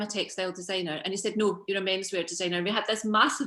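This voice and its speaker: In a Scottish accent, a woman speaks at a very fast pace and medium pitch. Her tone is bright and sharp, on a very clean recording with a silent background. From Scotland, Coatbridge. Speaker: fashion designer and business founder. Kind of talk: casual chat. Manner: animated.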